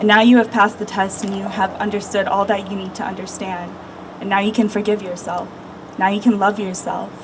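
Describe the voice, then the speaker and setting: Against noticeable background noise, a woman speaks in a calm, soothing tone at a medium pitch and fairly quick pace, her intonation monotone and flat. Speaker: meditation guide, energy healer. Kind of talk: guided meditation and spiritual talk to a crowd. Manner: calm, soothing, earnest.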